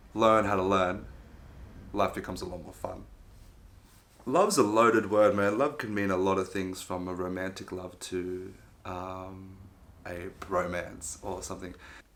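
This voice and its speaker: Amid audible room echo, a man with a very deep, low pitch talks at a moderate pace with long, frequent pauses, fairly even intonation and big swings in loudness. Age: 20s. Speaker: interviewee. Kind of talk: casual interview answers. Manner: halting, many fillers.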